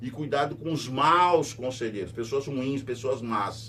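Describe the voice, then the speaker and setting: Audible room echo surrounds a man talking at a moderate pace, his medium pitch showing ordinary variation. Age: 60s. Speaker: radio host and news commentator. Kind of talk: news commentary monologue. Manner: conversational, repetitive emphatic.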